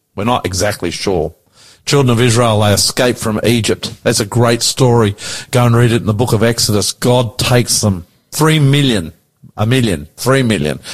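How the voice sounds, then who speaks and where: Somewhat breathy, a man with an Australian accent speaks at a moderate pace, his medium pitch showing ordinary variation. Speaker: radio pastor and host. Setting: radio studio.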